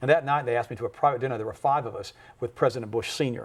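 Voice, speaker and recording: A man's somewhat breathy voice at medium pitch, at a very fast pace. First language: German. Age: 50s. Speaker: health and nutrition expert. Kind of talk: talk show interview. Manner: animated.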